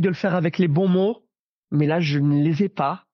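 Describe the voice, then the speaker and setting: A man speaks in an animated tone at a high pitch. The sound is dry and close, with no echo. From Belgium. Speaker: Disney fan and social media creator. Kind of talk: casual chat. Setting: video call from home.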